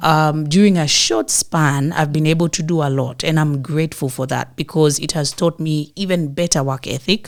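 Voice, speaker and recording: With a Kenyan coastal accent, a woman speaks at a moderate pace with a very deep, low pitch. Her intonation stays fairly even and she hardly pauses. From Kenyan coast, Mombasa. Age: 30s. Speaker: actress. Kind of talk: interview.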